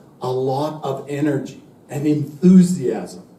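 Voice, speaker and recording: A man talks with ordinary pitch variation. Noticeable background noise and audible room echo fill the recording. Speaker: university English teacher. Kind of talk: lecture. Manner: slow and clear.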